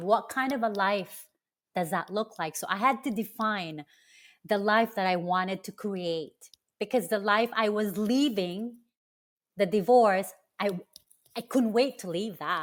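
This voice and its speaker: At a moderate pace, a woman talks at a medium pitch with ordinary pitch variation on a very clean recording with a silent background. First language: not English. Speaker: cancer survivor and health coach. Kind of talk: podcast interview.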